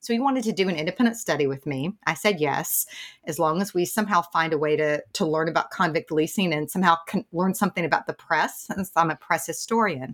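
With a Southern accent, a woman talks at a very fast pace in a fairly low pitch, her intonation lively. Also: dry, close sound with no echo. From US South, East Tennessee. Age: middle-aged. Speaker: journalism professor. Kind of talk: interview.

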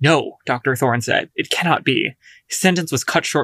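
The speaker gives a plain reading aloud, and the background around it is quiet.

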